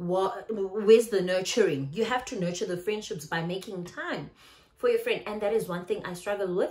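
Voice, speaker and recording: A woman with a South African accent talks at a medium pitch and a moderate pace. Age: 30s. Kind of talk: casual talk to camera.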